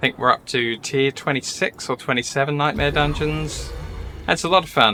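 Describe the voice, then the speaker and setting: A man's fairly high voice with an American accent, moderate pace and ordinary pitch variation. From southeast England, near London (Essex). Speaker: gaming streamer. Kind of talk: live gameplay stream chat. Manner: casual, hesitant with fillers.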